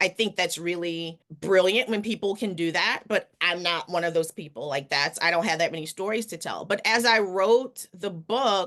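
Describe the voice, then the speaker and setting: A woman with a New Orleans accent, medium pitch, and a bright, sharp tone. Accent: Southern US, New Orleans. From New Orleans, Louisiana. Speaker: author and physician. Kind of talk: interview answer.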